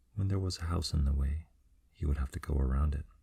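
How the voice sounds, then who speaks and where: Soft-spoken and somewhat breathy, the voice has a dark, mellow tone, a fairly quick pace and fairly even intonation, recorded very cleanly against a silent background. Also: man. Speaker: ASMR storyteller. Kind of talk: sleep story.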